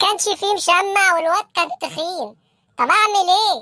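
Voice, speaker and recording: A woman does a cartoonish character voice, squeaky and extremely high in pitch. Her pitch varies in an ordinary way at a moderate pace. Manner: fawning, keeps addressing his boss as king.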